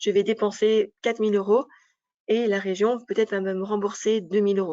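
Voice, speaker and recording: Her pitch sits at a medium level as the woman talks at a moderate pace in a monotone, flat intonation. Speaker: business advisor presenting an information session. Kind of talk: information session presentation.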